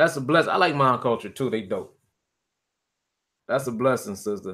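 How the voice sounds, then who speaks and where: With lively intonation and a medium pitch, a man talks at a moderate pace in an ordinary speaking voice. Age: 20s. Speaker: hip-hop artist. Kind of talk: casual chat. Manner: casual, relaxed.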